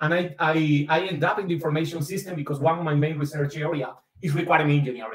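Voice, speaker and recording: Over a quiet background with audible room echo, a man talks at a very fast pace. His intonation is fairly even. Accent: Caribbean Colombian. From Caribbean coast of Colombia. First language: Spanish. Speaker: business school professor and researcher. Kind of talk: academic seminar talk. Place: home room. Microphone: webcam.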